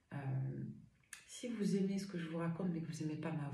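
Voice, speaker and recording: Her fairly low, dark, mellow voice is somewhat breathy, with ordinary pitch variation, as this woman speaks amid audible room echo. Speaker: medium and tarot reader. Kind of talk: tarot reading livestream. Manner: animated.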